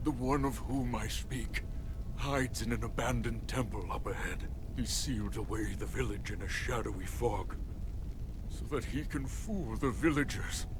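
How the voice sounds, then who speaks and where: Loud background noise fills the clip as a put-on character voice is performed. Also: man, moderate pace. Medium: fan dub. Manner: insistent, secretive.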